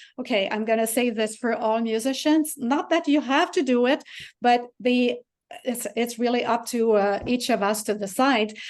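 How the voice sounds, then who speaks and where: A woman with a Quebec accent speaks at a moderate pace and a high pitch, her loudness very even and her pitch varying in an ordinary way against a quiet background. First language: French. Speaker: piano teacher and composer. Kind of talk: interview.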